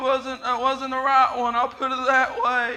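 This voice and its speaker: A man with an extremely high pitch speaks in a raised, projected voice at a fairly slow pace, his bright, sharp tone held to a flat monotone amid audible room echo. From Appalachian Kentucky, Harlan. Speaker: guest preacher. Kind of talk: sermon with personal testimony. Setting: church service. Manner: halting, frequent uh and repeated words.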